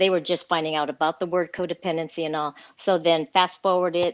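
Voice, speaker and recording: A woman with a fairly low pitch speaks in an unremarkable speaking voice with fairly even intonation. The sound is dry and close with no echo, over a quiet background. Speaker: recovery program member. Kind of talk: interview answer.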